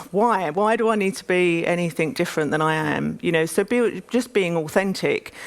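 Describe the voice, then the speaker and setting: With an East London accent, the speaker talks at a moderate pace with ordinary pitch variation. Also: woman. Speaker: business executive. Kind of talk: panel interview on stage. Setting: conference stage.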